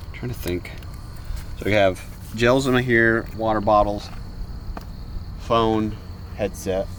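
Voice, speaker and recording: A man speaks at a fairly slow pace with long, frequent pauses, his fairly low voice held to a fairly even intonation, with audible room echo and noticeable background noise. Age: 30s. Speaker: ultra runner and life coach. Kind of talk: documentary interview and casual chat. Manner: halting, repeats words.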